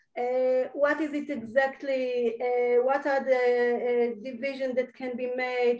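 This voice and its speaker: A woman with an Israeli accent speaks at a high pitch. Room echo is audible. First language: Hebrew. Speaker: university lecturer. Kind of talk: lecture. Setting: video call. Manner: halting.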